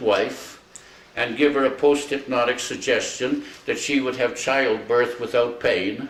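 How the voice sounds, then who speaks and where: A man with a Canadian accent speaks with fairly even intonation, with audible room echo and noticeable background noise. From Alberta, Canada. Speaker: retired hypnotist. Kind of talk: casual storytelling.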